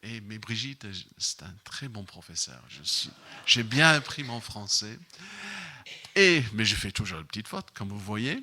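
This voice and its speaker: Speaking at a fairly slow pace with long, frequent pauses, a man uses lively intonation and a bright, sharp tone, his loudness swinging widely. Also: medium pitch for a man. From Ireland. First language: English (speaking French). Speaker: missions representative preaching. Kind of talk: sermon. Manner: halting, many fillers.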